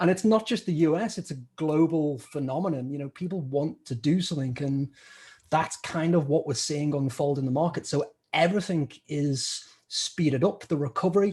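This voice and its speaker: A man with a British accent speaks at a moderate pace in a fairly high pitch, with ordinary pitch variation. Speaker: stock trader, podcast co-host. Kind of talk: interview.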